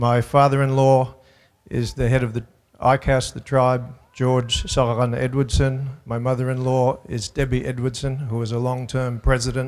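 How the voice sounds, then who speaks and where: A man of medium pitch talks in an Australian accent at a moderate pace, his intonation monotone and flat. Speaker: school superintendent. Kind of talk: public speech.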